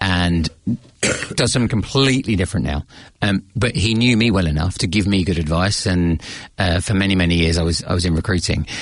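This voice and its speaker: A man's very deep, low voice at a fairly quick pace, with very even loudness and ordinary pitch variation. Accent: British. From England. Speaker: leadership coach. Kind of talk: interview. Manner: hesitant, with many fillers.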